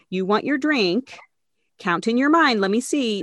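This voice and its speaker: Against a quiet background, a woman with a plain, everyday voice talks at a moderate pace with lively intonation, in a dry, close sound with no echo. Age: 40s. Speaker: psychologist and professor. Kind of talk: casual chat.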